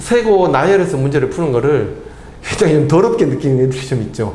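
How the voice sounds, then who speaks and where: The recording carries audible room echo and noticeable background noise. A man's pitch swings very widely as he speaks. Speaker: math tutor. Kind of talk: lecture. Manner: fast.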